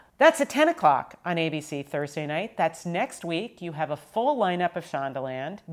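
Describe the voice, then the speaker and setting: In an ordinary speaking voice, a woman with a fairly low pitch talks at a moderate pace with lively intonation and hardly any pauses. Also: very clean recording, silent background. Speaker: TV executive producer and podcast host. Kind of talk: casual chat.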